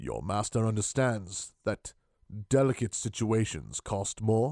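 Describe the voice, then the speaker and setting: A man's put-on character voice at a medium pitch and fairly slow pace, dry and close with no echo, on a very clean recording with a silent background. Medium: read story. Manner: terse, menacing.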